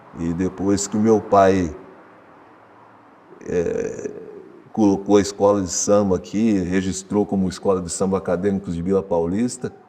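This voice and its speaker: Over noticeable background noise, a man talks at a fairly slow pace with long, frequent pauses. His pitch is fairly low and his intonation monotone and flat. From Ribeirão Preto, São Paulo state. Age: 60s. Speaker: samba school drum master. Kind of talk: documentary interview. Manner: casual, colloquial.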